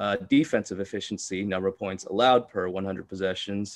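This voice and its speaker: Against a quiet background, a man with an American accent speaks in a normal speaking voice at a fairly low pitch, a moderate pace and with fairly even intonation. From Texas, Houston. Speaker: sports betting analyst. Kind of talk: casual chat.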